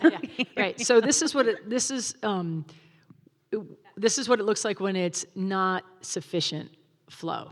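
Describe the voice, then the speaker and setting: With lively intonation, a woman at a medium pitch talks at a fairly slow pace, leaving long, frequent pauses. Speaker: wildlife agency field supervisor giving a talk. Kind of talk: public presentation with slides. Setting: stage with live audience, also streamed.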